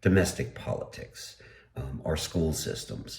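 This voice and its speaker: On a very clean recording with a silent background, a man speaks at a fairly slow pace in a very deep, low pitch, with vocal fry and lively intonation. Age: 60s. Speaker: political podcaster. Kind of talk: solo podcast commentary. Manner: halting, many fillers.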